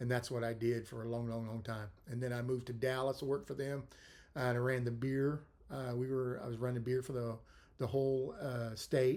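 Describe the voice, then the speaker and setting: A man with a Texan accent speaks with fairly even intonation. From South Texas, Corpus Christi. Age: 60s. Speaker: podcast host. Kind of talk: casual monologue. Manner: hesitant, many fillers.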